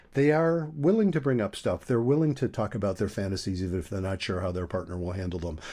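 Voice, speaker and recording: An American accent comes through in a dark, mellow tone with very wide pitch swings. The recording is very clean, with a silent background. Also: man. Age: 70s. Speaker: couples therapist. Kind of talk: podcast interview. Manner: conversational, with frequent fillers and restarts.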